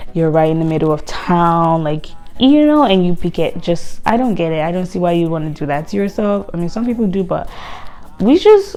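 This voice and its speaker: Against noticeable background noise, a woman with a non-native accent talks at a fairly quick pace and a fairly low pitch, her intonation lively. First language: not English. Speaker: lifestyle vlogger. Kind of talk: casual vlog talk.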